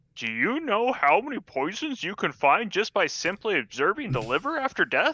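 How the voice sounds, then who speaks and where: In a put-on character voice, a man speaks at a moderate pace with hardly any pauses, his high pitch making very wide swings. The sound is dry and close, with no echo. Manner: mocking.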